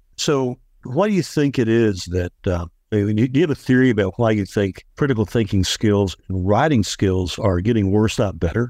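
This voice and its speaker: A man speaks at a moderate pace with a dark, mellow tone and a fairly low pitch, his loudness very even and his pitch varying in an ordinary way. The sound is dry and close with no echo, against a quiet background. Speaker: podcast co-host. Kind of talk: interview conversation.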